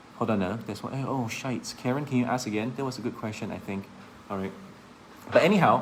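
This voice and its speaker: Amid audible room echo, a man of medium pitch speaks at a very fast pace with ordinary pitch variation, broken by long, frequent pauses. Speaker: insurance agent and sales trainer. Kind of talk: live-stream talk / sales training. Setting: Facebook live stream.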